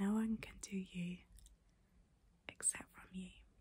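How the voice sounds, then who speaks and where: A soft-spoken woman talks at a fairly slow pace. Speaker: calming-content creator. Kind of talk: soft, reassuring guided talk, ASMR-like. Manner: soft close-mic ASMR voice. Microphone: phone near.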